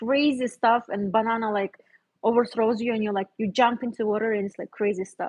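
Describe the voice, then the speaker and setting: Her sound dry and close with no echo, a woman speaks at a moderate pace with a non-native accent. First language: not English. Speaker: visual artist. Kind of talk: casual livestream chat. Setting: home art studio, livestream. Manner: relaxed, conversational.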